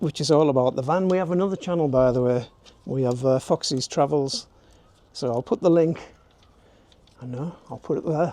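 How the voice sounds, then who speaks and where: With a northern English accent, a man speaks in a dark, mellow tone at a fairly high pitch, with ordinary pitch variation and long, frequent pauses. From northern England. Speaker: YouTube DIY presenter. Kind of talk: tutorial. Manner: casual, chatty.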